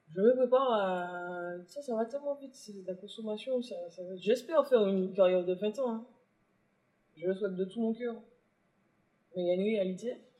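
A moderate pace broken by long, frequent pauses. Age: 20s. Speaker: rapper. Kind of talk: interview. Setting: bookstore cultural space. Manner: halting.

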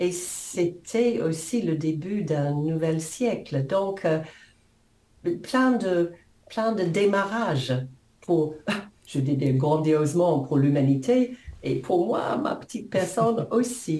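With an English accent, a woman speaks in a dark, mellow tone at a fairly low pitch, with lively intonation. Her pace is very slow with long, frequent pauses, and audible room echo surrounds her voice. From New Zealand. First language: English (speaking French). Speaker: coach and author. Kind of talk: interview.

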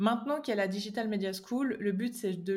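Speaking with a slight Swiss French accent, a woman keeps a fairly quick pace, medium pitch and fairly even intonation on a very clean recording with a silent background. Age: 20s. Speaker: online course creator. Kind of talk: interview.

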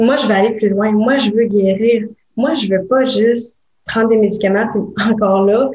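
A woman's fairly high, somewhat breathy voice with a Quebec accent, fairly even intonation and a moderate pace. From Quebec (Gatineau). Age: 20s. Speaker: legal assistant and wellness entrepreneur. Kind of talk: interview testimony.

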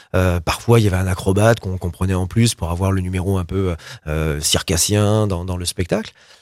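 A man with an ordinary speaking voice, fairly low in pitch and fairly even in intonation, at a moderate pace on a very clean recording with a silent background. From France, Loire (Roanne area). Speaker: pop rock singer and cabaret owner. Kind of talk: interview.

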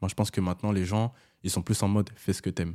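A man's fairly low, dark and mellow voice, dry and close with no echo, on a very clean recording with a silent background. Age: 20s. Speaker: rapper. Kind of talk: casual chat.

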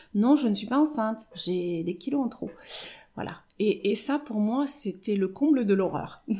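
A woman speaks with a fairly high pitch and a dark, mellow tone. Her delivery is somewhat breathy, with lively intonation. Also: fairly slow pace. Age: 50s. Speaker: hairdresser. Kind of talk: testimony. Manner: halting.

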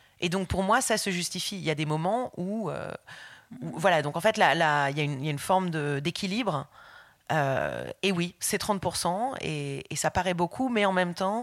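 With a plain, everyday voice, a woman speaks at a fairly slow pace in a fairly low pitch, her intonation lively. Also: very clean recording, silent background. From France. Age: 40s. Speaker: illustrator. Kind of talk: interview. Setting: at home.

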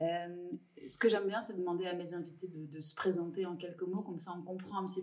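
A woman with a fairly low voice talks at a moderate speed. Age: 40s. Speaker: podcast host. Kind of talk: interview. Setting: office.

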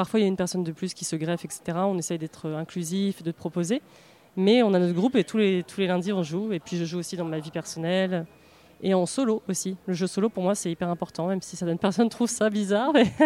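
Talking very fast, a woman with a dark, mellow tone keeps a medium pitch and ordinary pitch variation. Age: 30s. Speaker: marketing and communications director at a board game publisher. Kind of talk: interview.

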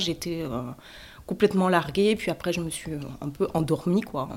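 The woman here speaks at a fairly low pitch. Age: 30s. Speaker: stroke survivor, radiology technician, mother. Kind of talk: personal testimony. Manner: halting, many hesitations.

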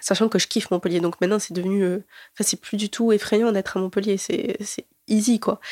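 The recording is very clean, with a silent background. A woman with a medium-pitched voice speaks fairly quickly, her intonation fairly even. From southern France, Alès (Gard). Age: 20s. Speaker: university student. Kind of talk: personal testimony interview. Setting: student dorm room. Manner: hesitant, many fillers.

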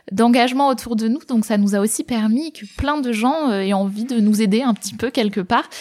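A woman's fairly high voice, an unremarkable speaking voice, with ordinary pitch variation at a moderate pace. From southern France, Var. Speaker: social entrepreneur. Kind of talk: casual interview.

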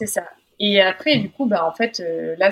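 This woman has an ordinary speaking voice at medium pitch. Her pace is moderate, with ordinary pitch variation. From France, Drôme. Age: 20s. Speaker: weightlifter and sports psychologist. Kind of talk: interview testimony.

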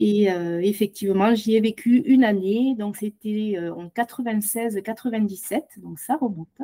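A woman with a dark, mellow tone and fairly high pitch speaks at a very slow pace with big swings in loudness, recorded with a dry, close sound and no echo. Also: ordinary pitch variation, hardly any pauses. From southwest France, Tarn-et-Garonne. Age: 50s. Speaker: podcast guest, former au pair. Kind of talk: interview testimony.

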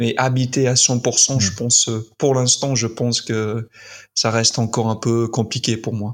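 On a very clean recording with a silent background, a man speaks at a fairly slow pace in a monotone, flat intonation. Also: medium pitch for a man. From US, Utah. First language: English (speaking French). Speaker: content creator. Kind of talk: interview.

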